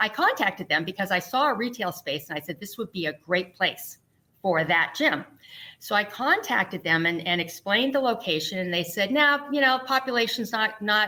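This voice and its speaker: A normal speaking voice from a woman at medium pitch, fairly quick in pace, with lively intonation. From US, military family, moved around. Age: 60s. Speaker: fitness YouTuber, former gym owner. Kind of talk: podcast interview.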